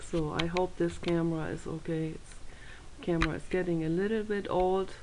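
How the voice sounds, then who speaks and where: With audible room echo around her, a woman of medium pitch speaks with a monotone, flat intonation. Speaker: video blogger. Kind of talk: casual vlog monologue. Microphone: old camera mic that may crackle.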